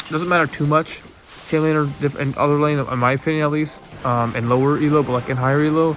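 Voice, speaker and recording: Amid noticeable background noise, a man speaks at a very fast pace with a fairly high pitch and fairly even intonation. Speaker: gaming content creator. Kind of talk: gameplay replay commentary. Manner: casual, many fillers.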